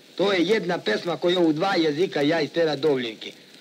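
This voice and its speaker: Amid light background noise, a man with a high pitch talks at a fairly quick pace with ordinary pitch variation. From Sandžak, Serbia (village Glogovik near Novi Pazar); Serbia. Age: 30s. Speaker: café owner and gusle singer. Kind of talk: interview. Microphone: old recording.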